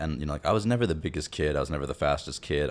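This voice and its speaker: With vocal fry, a man in an American accent talks at a very deep, low pitch. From US, child of Indian immigrants. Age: 20s. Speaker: podcast co-host. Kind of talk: casual chat.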